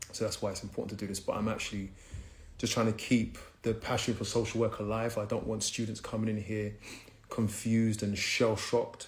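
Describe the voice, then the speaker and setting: Audible room echo surrounds a man speaking at a fairly quick pace in a fairly low, somewhat breathy voice with monotone, flat intonation. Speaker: social work educator hosting livestream. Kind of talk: live stream talk to viewers. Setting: live stream reading from laptop. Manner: fast.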